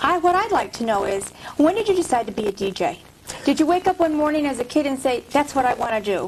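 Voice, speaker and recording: A woman talks at a very fast pace, her high voice making very wide pitch swings. Noticeable background noise runs underneath. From Vermont. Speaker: talk show host. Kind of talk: interview.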